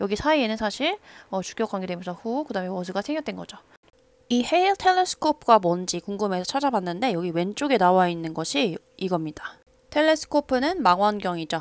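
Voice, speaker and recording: Speaking at a fairly quick pace, a woman at medium pitch makes very wide pitch swings on a very clean recording with a silent background and a dry, close sound with no echo. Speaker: English teacher. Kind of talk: lecture.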